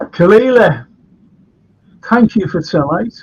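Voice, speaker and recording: A man speaks with a Liverpool accent. His pace is very slow. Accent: Scouse. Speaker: historian and chat show host. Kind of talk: casual chat. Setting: live stream. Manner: animated.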